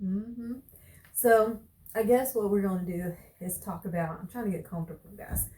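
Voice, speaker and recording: A woman speaks at a moderate pace and medium pitch, with ordinary pitch variation and long, frequent pauses. Her tone is dark and mellow, somewhat breathy. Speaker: vlogger, wife and stay-at-home mom. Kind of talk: casual chat.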